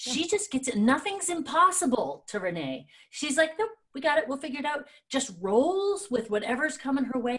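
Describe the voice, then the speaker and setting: Against a quiet background, a woman speaks at a moderate pace in a high pitch with very wide pitch swings. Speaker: show co-host. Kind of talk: casual talk-show chat. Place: home room. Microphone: studio mic.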